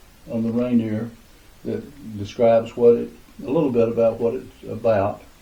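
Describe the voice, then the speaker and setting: A man speaks at medium pitch with fairly even intonation. His moderate pace is heard with audible room echo. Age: 80s+. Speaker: retired crafter raising money for charity. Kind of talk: casual interview. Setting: home basement. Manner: hesitant, many filler uhs.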